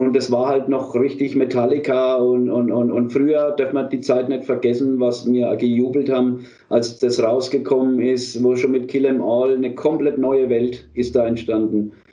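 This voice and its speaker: At a moderate pace, a man speaks with monotone, flat intonation and very even loudness. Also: medium pitch for a man, hardly any pauses. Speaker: metal band singer and leader. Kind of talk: casual interview. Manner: halting.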